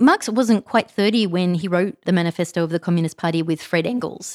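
A woman's medium-pitched voice with an Australian accent and ordinary pitch variation, dry and close with no echo. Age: 40s. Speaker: podcast host. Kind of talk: casual monologue. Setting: home recording.

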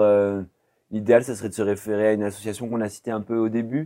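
A man talks at a very fast pace in a fairly low pitch. His tone is dark and mellow, and his intonation stays monotone and flat. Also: very clean recording, silent background. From France, Poitiers. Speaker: social worker and association director. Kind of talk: interview. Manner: hesitant, many fillers.

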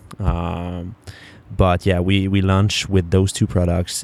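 A man speaks in a very deep, low voice with monotone, flat intonation. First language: French. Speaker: podcast host, entrepreneur. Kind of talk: casual solo monologue.

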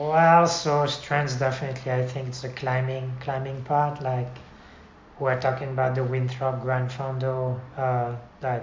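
At a fairly slow pace, a man with a medium-pitched, somewhat breathy voice talks in a flat monotone over audible room echo. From France. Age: 50s. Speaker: amateur cyclist. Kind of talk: casual interview. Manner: halting.

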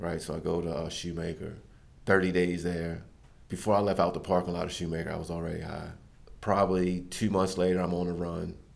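In a very deep, low pitch, a man with an American accent talks at a fairly quick pace with monotone, flat intonation. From Maryland, US. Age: 40s. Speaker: church member sharing testimony. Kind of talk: testimony. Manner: casual.

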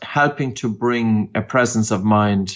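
This man speaks with an Irish accent at a moderate pace. His pitch varies in an ordinary way. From Ireland, County Meath. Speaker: breathing expert. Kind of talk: interview. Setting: remote call.

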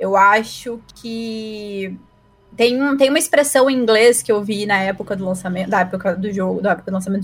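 A woman with an ordinary speaking voice, medium pitch, ordinary pitch variation and a fairly quick pace. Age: 20s. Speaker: advertising professional and streamer. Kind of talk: casual chat.

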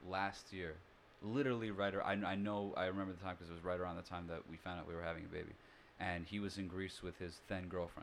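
This man has a very deep, low pitch and a monotone, flat intonation. He talks at a very fast pace. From New York City. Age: 30s. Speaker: singer-songwriter. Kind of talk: casual chat.

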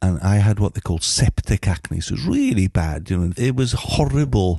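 Very deep, low-pitched man's voice with a Welsh accent, dark, mellow and somewhat breathy, in a dry, close sound with no echo. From Mid Wales. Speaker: musician and radio DJ. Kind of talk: casual interview. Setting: at his home.

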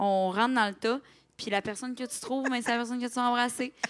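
Fairly even intonation in a Quebec accent, on a very clean recording with a silent background. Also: woman. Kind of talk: casual chat. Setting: stage with audience.

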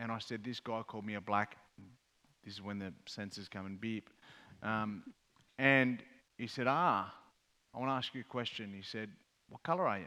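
With an Australian accent and fairly low pitch, a man talks at a moderate pace with long, frequent pauses, big swings in loudness and ordinary pitch variation on a very clean recording with a silent background. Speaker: mental health advocate and former rugby player. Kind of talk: panel discussion on stage. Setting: stage with audience.

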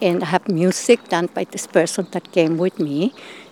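Speaking with a Spanish accent, a woman uses a fairly low pitch with ordinary pitch variation, and the sound is dry and close with no echo. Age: 70s. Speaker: performance artist. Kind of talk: interview.

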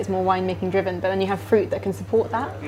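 Here a woman talks at a very fast pace. Room echo is audible, and background noise is noticeable. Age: 20s. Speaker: wine writer. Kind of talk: casual chat. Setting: restaurant.

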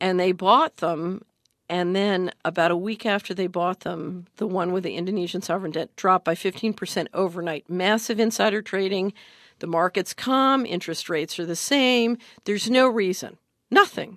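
A woman with an American accent speaks at a moderate pace and medium pitch, with ordinary pitch variation, in an unremarkable speaking voice. The sound is dry and close with no echo, over a quiet background. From Philadelphia, US. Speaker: investment adviser and former government official. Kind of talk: interview.

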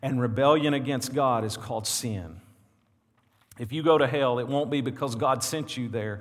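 A man talks with a Southern US accent. Audible room echo surrounds his voice. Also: medium pitch for a man, ordinary pitch variation, moderate pace. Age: 40s. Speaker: pastor. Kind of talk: sermon. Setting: church. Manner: animated.

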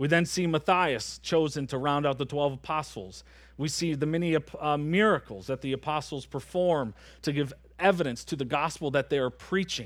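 A normal speaking voice with an American accent and ordinary pitch variation comes through on a very clean recording with a silent background. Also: man, fairly high pitch for a man, moderate pace. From Michigan. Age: 30s. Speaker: pastor. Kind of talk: sermon. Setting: church.

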